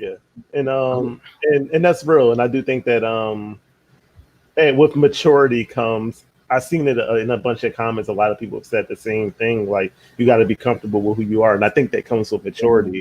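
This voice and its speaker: With an American accent, a man speaks in a plain, everyday voice at medium pitch. He talks at a fairly quick pace with ordinary pitch variation. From Philadelphia. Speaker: podcast host. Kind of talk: casual chat.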